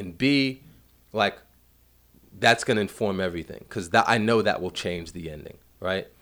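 Speaking with a New York accent, a man with a fairly low pitch moves at a fairly quick pace with lively intonation. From Brooklyn, New York (Bed-Stuy). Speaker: film director. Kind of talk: casual chat.

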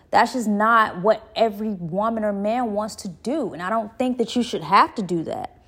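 With an unremarkable speaking voice, a woman talks at a moderate pace with hardly any pauses, her fairly high pitch showing ordinary variation, in a very clean recording with a silent background. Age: 30s. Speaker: podcast host. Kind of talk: solo commentary monologue. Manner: casual with frequent fillers.

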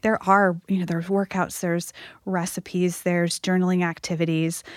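At a fairly quick pace, a woman with an unremarkable speaking voice talks at medium pitch with fairly even intonation, in a very clean recording with a silent background and a dry, close sound with no echo. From US Northeast (Massachusetts). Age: 40s. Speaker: author and fitness coach. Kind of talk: interview conversation.

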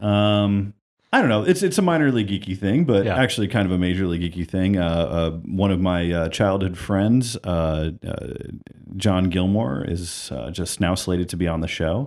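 The voice moves at a moderate pace with ordinary pitch variation, with an American accent. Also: man, very deep, low pitch for a man. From New York, then Toledo, Ohio. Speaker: filmmaker and podcaster. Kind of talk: casual chat.

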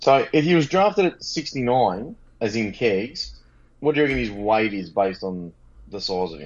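A man with an Australian accent talks at a moderate pace in a medium pitch. His pitch swings very widely and his loudness rises and falls in big swings. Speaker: fantasy football podcast co-host. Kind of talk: casual chat. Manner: animated.

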